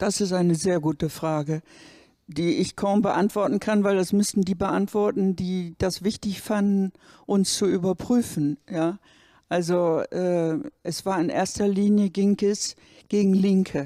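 A woman's voice with a dark, mellow tone and very even loudness, at a fairly slow pace with ordinary pitch variation, dry with no echo over a quiet background. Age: 70s. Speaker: retired university administrator; interviewee, witness. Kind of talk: interview. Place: hall. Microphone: handheld.

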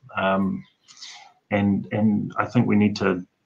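A man speaks at a fairly low pitch with vocal fry. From New Zealand. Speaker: forensic odontologist; guest. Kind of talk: interview. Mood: earnest, reflective. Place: home room. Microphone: video call.

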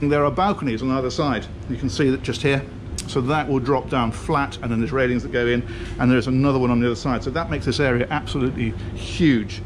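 A man at a very fast pace with fairly even intonation, over noticeable background noise. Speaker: presenter. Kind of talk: walkthrough tour commentary. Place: boat. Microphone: phone near.

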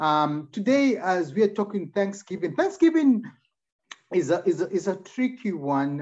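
A man at a moderate pace, his pitch swinging very widely, with a quiet background. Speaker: preacher. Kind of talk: sermon. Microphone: video call.

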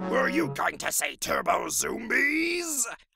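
Over faint background music, a man puts on a raspy, cartoonish character voice. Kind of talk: comic overacting. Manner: boastful, self-absorbed, whiny about the movie.

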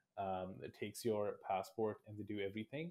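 With fairly low pitch and a slightly mellow tone, a man speaks at a moderate pace and with fairly even intonation.

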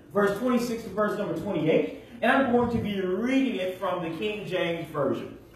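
Lively intonation runs with hardly any pauses. Light background noise and audible room echo are present. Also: man, high pitch for a man, moderate pace. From Michigan. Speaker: minister. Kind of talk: sermon. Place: church.

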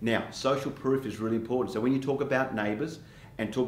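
Light background noise and audible room echo accompany a man as he talks. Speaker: real estate coach. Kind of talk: tutorial. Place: studio.

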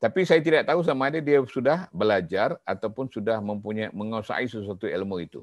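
Man at a fairly quick pace with lively intonation, a dry sound with no echo and a quiet background. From Malaysia. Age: 50s. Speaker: professor. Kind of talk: lecture. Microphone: webcam.

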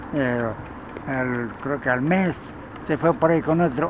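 Through loud background noise, a man speaks at a fairly slow pace with fairly even intonation, the sound dry with no echo. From Tepeji del Río, Hidalgo, Mexico. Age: 70s. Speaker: goat herder, retired factory worker. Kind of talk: interview answer. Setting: outdoors. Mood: reminiscing, calm. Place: open country.

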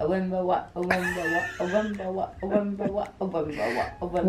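At a fairly quick pace, a woman speaks with ordinary pitch variation over noticeable background noise. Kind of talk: casual vlog chat. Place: home room.

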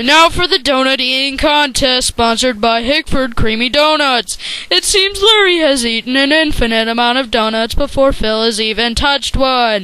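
A cartoonish character voice with a high pitch. It moves at a moderate pace. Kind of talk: sports commentary. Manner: excited, fast.

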